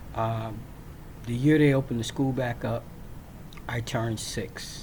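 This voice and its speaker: A man's medium-pitched voice with an American accent, at a moderate pace with fairly even intonation, amid audible room echo. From Virginia. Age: 60s. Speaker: military veteran. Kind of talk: personal storytelling. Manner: casual, with frequent fillers.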